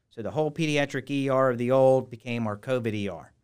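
Speaking with an American accent in an ordinary speaking voice, a man keeps a medium pitch and fairly even intonation on a very clean recording with a silent background. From US Midwest, Cincinnati, Ohio. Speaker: hospital executive. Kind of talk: interview.

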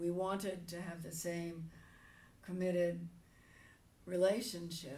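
With an American accent, a woman speaks fairly slowly at a fairly low pitch. Her intonation is fairly even, and the room echo is audible. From New Jersey. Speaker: retired pastor. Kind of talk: interview.

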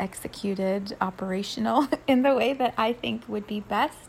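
Over noticeable background noise, a woman speaks at medium pitch with ordinary pitch variation and a fairly slow pace. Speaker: spiritual podcaster and energy healer. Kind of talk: spiritual channeled message. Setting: home bedroom.

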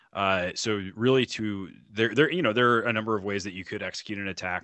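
A man in a plain, everyday voice, with an American accent and a fairly low pitch, talks at a fairly quick pace with fairly even intonation. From North Carolina. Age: 30s. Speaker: liberty podcaster. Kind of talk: casual interview chat.

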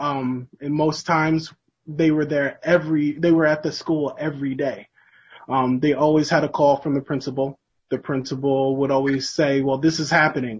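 With an American accent, a man speaks at a moderate pace in a fairly high, somewhat breathy voice. His intonation stays monotone and flat. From upstate New York, rural Sullivan County. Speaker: protest speaker, local who grew up in the town. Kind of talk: speech at protest; interview. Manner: halting.

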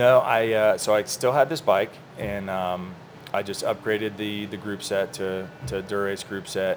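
A man with a normal speaking voice keeps his intonation fairly even and his pace moderate. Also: fairly low pitch for a man. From US South, Orlando, Florida. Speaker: cyclist, business owner. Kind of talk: casual chat. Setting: coffee shop.

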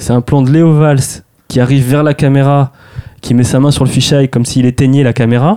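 A man speaks at a medium pitch and a moderate pace, his tone dark and mellow. The sound is dry and close with no echo, and his intonation stays fairly even. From France, Touraine (rural village near Tours). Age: 30s. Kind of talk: casual interview.

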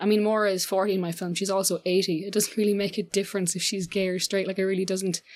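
This is a woman speaking. She has an Irish accent. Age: 20s. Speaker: filmmaker. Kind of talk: interview.

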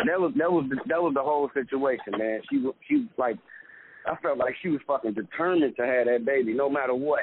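A man's fairly high-pitched, ordinary speaking voice at a fairly quick pace, with lively intonation and very even loudness. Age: 20s. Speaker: comedian. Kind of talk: casual chat.

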